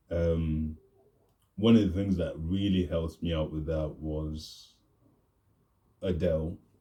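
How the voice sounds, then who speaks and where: A man speaks at a very slow pace with long, frequent pauses, his very deep, low voice somewhat breathy and dark and mellow in tone, the intonation fairly even. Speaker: vlogger and aspiring rapper. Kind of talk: casual vlog monologue. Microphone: new mic.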